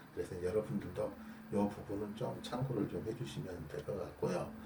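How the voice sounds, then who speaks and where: Audible room echo surrounds the voice. A man speaks at medium pitch. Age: 60s. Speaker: construction defect repair specialist and YouTuber. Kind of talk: casual explanatory talk to camera. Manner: hesitant with fillers.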